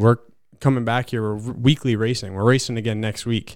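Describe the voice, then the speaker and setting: On a very clean recording with a silent background, a man with a normal speaking voice and an American accent speaks at a medium pitch with fairly even intonation. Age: 20s. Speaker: short track racer. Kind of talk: casual chat.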